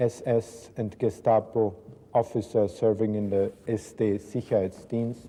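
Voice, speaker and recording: With an Austrian accent, a man speaks at a fairly slow pace. His medium-pitched voice has a dark, mellow tone. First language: German. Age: 70s. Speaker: writer and son of a Nazi officer, school talk. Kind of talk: talk to school students. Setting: school classroom.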